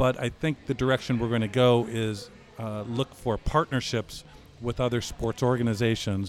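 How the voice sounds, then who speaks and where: A plain, everyday voice from a man, medium in pitch, with fairly even intonation at a moderate pace. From US Midwest, Chicago. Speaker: soccer club executive. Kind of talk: casual chat. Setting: pub.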